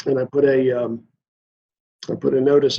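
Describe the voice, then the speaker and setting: Monotone, flat intonation pairs with a dark, mellow tone in this voice. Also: man. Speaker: dam safety engineer at a power utility. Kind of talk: Q&A at a club meeting. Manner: halting, many fillers and restarts.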